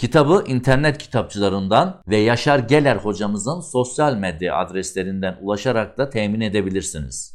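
At a moderate pace, a man speaks in a plain, everyday voice, fairly low in pitch with lively intonation, on a very clean recording with a silent background. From Ardahan region, northeastern Turkey. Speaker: video channel presenter. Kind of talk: book review presentation. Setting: studio. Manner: formal.

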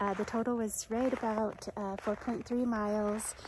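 A woman is speaking over light background noise. The sound is dry, with no echo. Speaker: hiker vlogger. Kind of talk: casual vlog chat. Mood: relaxed and cheerful. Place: forest. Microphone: phone near.

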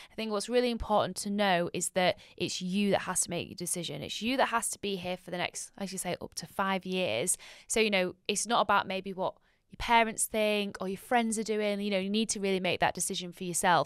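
Using a normal speaking voice, a woman talks at a fairly quick pace and a medium pitch, her intonation fairly even. Her loudness swings widely, and the sound is dry with no echo against a quiet background. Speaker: podcast host, university marketing staff; podcast host. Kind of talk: casual interview. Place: studio. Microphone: studio mic.

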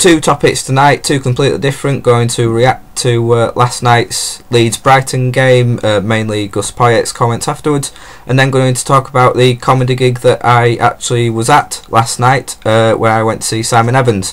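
Fairly even intonation at a moderate pace, with hardly any pauses. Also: man. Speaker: football fan vlogger. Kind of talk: casual vlog chat. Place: home room. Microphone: webcam.

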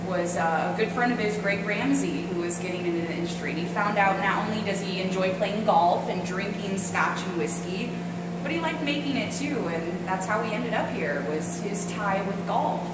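The speech runs on with hardly any pauses. Loud background noise and audible room echo fill the recording. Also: woman, moderate pace. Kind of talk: interview answer. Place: factory.

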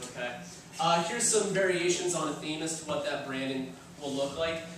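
Strong room echo and light background noise around a man's voice with ordinary pitch variation. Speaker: design professor presenting at a conference. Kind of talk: conference talk. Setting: stage with audience. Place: classroom. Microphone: camera far.

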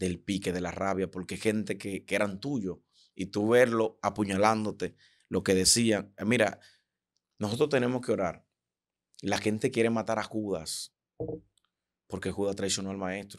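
A man's fairly low voice at a fairly slow pace, with fairly even intonation, long, frequent pauses and a quiet background. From Dominican Republic. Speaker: preacher and prophet; preacher. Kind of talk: interview conversation. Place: studio. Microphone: studio mic.

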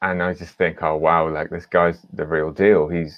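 Here a man with a British accent speaks at a moderate pace and a very deep, low pitch. The sound is dry with no echo, and the background is quiet. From Britain. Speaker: film director. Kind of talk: panel discussion; panel interview answer, storytelling. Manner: halting. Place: home room. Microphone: video call.

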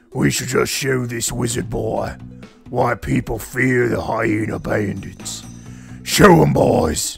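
A raspy, put-on character voice goes at a fairly slow pace, with faint music in the background. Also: man, medium pitch for a man. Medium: game stream. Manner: blustering, bossy.

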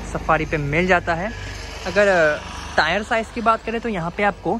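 Light background noise sits under a dry sound with no echo. A man speaks at a fairly slow pace. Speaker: car reviewer. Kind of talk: product walkaround commentary. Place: street. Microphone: phone near.

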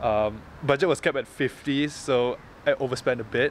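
Over light background noise, a man speaks in a dry recording with no echo. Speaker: vlogger. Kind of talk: casual vlog chat. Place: street. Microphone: phone near.

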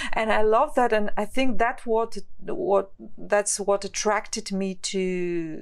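A woman with an ordinary speaking voice, medium pitch, and fairly even intonation. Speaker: podcast host. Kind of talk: podcast interview question.

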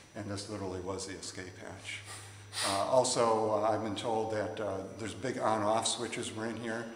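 Audible room echo surrounds the voice. Light background noise can be heard. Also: man. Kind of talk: interview answer. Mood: amused, anecdotal. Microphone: phone near.

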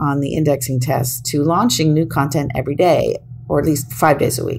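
A woman with an American accent talks at a moderate tempo, her pitch varying in an ordinary way, while noticeable noise fills the background. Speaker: SEO consultant and tester. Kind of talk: podcast talk.

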